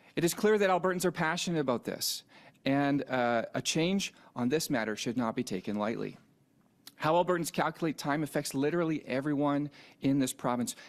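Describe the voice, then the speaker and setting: With a Canadian accent and a normal speaking voice, a man talks at a fairly quick pace and fairly high pitch, his intonation lively. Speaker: provincial minister. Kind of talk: press conference. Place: hall. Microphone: podium.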